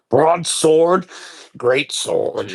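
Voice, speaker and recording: A man puts on a character voice pitched high. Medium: actual play. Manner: rambling, eager.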